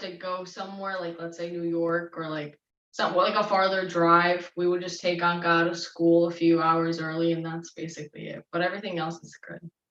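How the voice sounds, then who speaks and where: A woman at a medium pitch. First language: Serbian. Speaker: parent of child model. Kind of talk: panel discussion.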